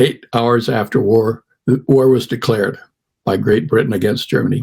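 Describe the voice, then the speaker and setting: A man with a medium pitch and a somewhat breathy voice speaks at a moderate pace with fairly even intonation. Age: 80s+. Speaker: shipwreck survivor. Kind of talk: testimony. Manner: halting.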